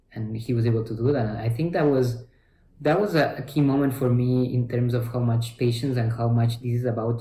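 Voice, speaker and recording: A somewhat breathy voice with a dark, mellow tone at a moderate pace. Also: man. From Ecuador. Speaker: physician. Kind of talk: interview answer.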